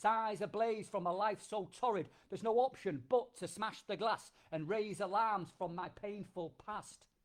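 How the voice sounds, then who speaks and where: In a Yorkshire accent, the speaker keeps a fairly slow pace with hardly any pauses and ordinary pitch variation. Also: man, high pitch for a man. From Yorkshire, England. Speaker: performance poet, army veteran. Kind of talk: performance poetry.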